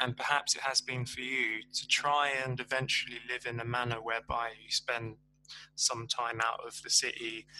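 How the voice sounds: The voice has a bright, sharp tone, moves little in pitch, and keeps a moderate pace. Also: man.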